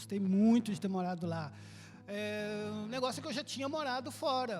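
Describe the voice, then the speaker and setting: A man with a Brazilian accent at a high pitch, lively intonation and moderate pace, with music in the background. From Brazil, Belo Horizonte, Minas Gerais. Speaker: church member, immigrant. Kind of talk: interview.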